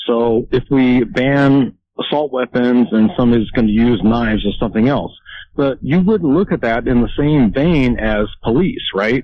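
A plain, everyday voice speaks at a moderate pace. Its loudness is very even, and its pitch varies in an ordinary way. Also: man, medium pitch for a man. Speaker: caller. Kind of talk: casual call-in chat. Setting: phone call.

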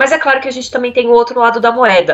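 Noticeable background noise behind a woman's fairly high-pitched voice. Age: 30s. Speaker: HR manager. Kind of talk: interview.

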